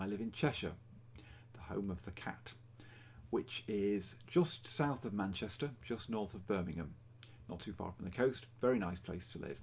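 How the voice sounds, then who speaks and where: With an English accent, a man speaks at a moderate pace, his fairly low voice carrying lively intonation. He leaves long, frequent pauses. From England. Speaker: cross-stitch vlogger. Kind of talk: casual vlog. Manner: hesitant with fillers.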